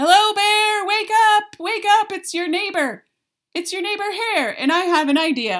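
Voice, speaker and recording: In a squeaky put-on character voice, a woman speaks at an extremely high pitch and a moderate pace, her voice raised and projected. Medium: read story. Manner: eager, persuasive.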